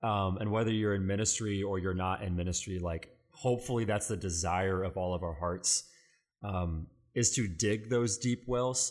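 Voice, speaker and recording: In a very clean recording with a silent background, a man with a fairly low pitch has an ordinary speaking voice, a moderate pace and ordinary pitch variation. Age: 20s. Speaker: student pastor and podcast co-host. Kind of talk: casual chat.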